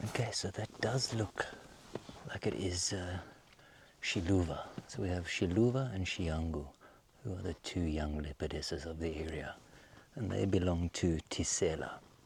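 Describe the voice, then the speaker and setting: A man with a very deep, low, somewhat breathy voice talks at a moderate pace with ordinary pitch variation. He leaves long, frequent pauses. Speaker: safari guide. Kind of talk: live wildlife commentary. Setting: outdoors on safari. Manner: halting.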